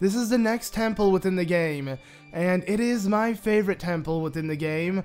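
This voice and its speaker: A man with a high-pitched voice speaks at a moderate pace with ordinary pitch variation while music plays in the background. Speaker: let's play gamer. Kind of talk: gameplay commentary.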